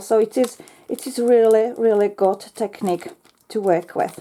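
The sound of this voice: A woman's fairly high voice, dark and mellow in tone, with fairly even intonation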